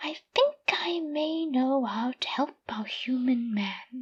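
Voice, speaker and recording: In a put-on character voice pitched high, a woman speaks at a very slow pace. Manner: gentle.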